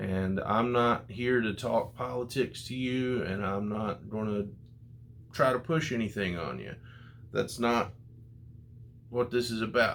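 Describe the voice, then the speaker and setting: At a fairly slow pace, a man with an American accent speaks at medium pitch in an unremarkable speaking voice. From United States. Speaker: comic book YouTuber. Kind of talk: casual vlog review.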